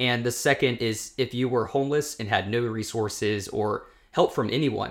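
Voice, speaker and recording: With fairly even intonation, a man talks at a moderate pace and a medium pitch. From United States. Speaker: podcast co-host. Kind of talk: casual chat. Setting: in a home in Oslo, on a sofa.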